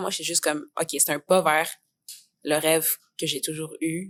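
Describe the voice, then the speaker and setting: Using a Quebec accent, a woman speaks at a moderate pace with a fairly low pitch and fairly even intonation. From Quebec, Montreal. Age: 20s. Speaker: theatre student. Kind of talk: podcast interview. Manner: casual, many fillers.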